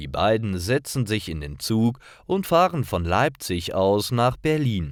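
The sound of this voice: Over a silent background in a very clean recording, a man speaks at a fairly slow pace in a fairly low pitch with big pitch swings.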